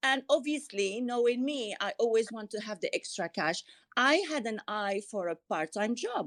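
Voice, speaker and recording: With a French accent, a woman speaks at a moderate pace in a fairly high voice with lively intonation. The sound is dry and close with no echo, in a very clean recording with a silent background. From Morocco. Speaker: author and TV business presenter. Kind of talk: interview. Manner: hesitant, repeats words.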